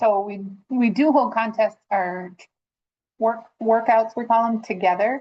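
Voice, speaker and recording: At a fairly slow pace, a woman speaks in an unremarkable speaking voice, fairly high in pitch, with fairly even intonation. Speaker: 4-H volunteer coach. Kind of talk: webinar question.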